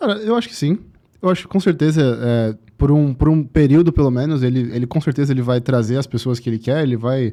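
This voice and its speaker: At a very fast pace, a man speaks in a medium pitch with a dark, mellow tone and ordinary pitch variation. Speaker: podcast guest, digital marketer. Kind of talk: podcast interview. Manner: repetitive, stammering.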